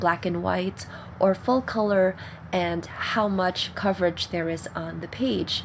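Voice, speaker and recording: Somewhat breathy female speech with ordinary pitch variation. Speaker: risograph print studio owner. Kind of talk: tutorial talk to camera.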